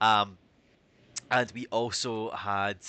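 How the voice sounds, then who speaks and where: Bright, sharp male tone in a strong Scottish accent, against a quiet background. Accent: Scottish, thicker than usual. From Scotland. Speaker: community manager and stream host. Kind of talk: livestream news chat. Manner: casual, many fillers.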